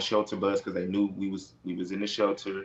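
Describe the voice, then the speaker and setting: The intonation is monotone and flat. The speaker has an American accent. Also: man. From Houston, Texas (north side). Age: 20s. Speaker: reality TV personality. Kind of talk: interview. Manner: hesitant, many fillers.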